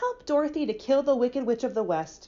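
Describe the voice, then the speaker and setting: A woman puts on a gruff character voice at a high pitch. She talks fairly quickly. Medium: read story. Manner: growling.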